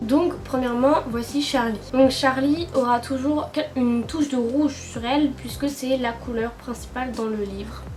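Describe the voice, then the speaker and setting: Fairly slow, fairly even delivery with audible room echo and noticeable background noise. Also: woman, high pitch for a woman. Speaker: YouTuber and novel writer. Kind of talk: casual vlog chat; voice-over narration. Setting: sitting on a sofa at home. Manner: hesitant, many filler sounds.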